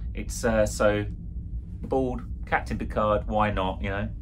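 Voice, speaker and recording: With music in the background, a man speaks at a fairly slow pace and makes very wide pitch swings. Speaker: costume reviewer. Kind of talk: casual product review. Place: home room.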